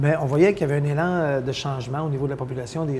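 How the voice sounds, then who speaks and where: Audible room echo surrounds a man talking at a very fast pace. His pitch is fairly high and his intonation fairly even. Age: 60s. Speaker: mayor. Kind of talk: interview. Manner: hesitant, many fillers.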